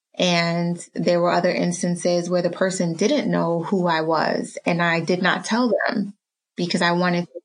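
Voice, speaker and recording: A woman's fairly low voice at a fairly slow pace. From New York City (Harlem), Caribbean-born. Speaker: family physician. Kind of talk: interview conversation. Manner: hesitant, many fillers.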